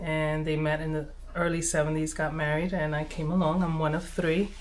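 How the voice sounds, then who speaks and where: Her voice very deep and low in pitch, a woman talks at a fairly quick pace in a monotone, flat intonation. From Brooklyn, New York, US. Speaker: nonprofit advocate. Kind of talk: interview testimony. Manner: hesitant, many fillers.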